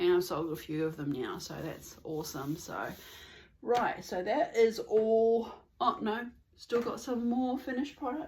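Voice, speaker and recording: A woman with an Australian accent speaks at a fairly slow pace, with vocal fry. Her pitch swings very widely. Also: fairly high pitch for a woman. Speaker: knitting podcaster. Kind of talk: casual vlog chat. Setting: at home in the suburbs.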